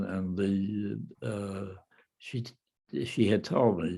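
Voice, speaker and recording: Fairly even intonation from a man with a fairly low pitch. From Cleveland, Ohio. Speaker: World War II veteran. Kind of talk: interview answer.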